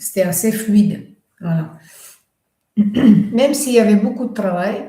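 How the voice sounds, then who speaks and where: A woman with a Russian accent speaks at a very slow pace, her medium pitch carrying ordinary pitch variation. Her tone is dark and mellow, somewhat breathy, with audible room echo. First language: Russian (speaking French). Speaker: author and medium. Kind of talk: live stream talk. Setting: live stream. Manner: halting, many fillers.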